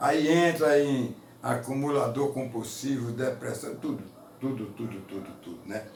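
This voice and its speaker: A man with a fairly high pitch speaks at a fairly slow pace. There is audible room echo and noticeable background noise. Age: 70s. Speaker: preacher. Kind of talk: sermon.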